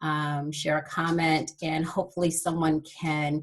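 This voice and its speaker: In an American accent, a woman talks at a fairly low pitch with a bright, sharp tone. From California, San Fernando Valley. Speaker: HR director, alumna speaker. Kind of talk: motivational talk. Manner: halting, many fillers.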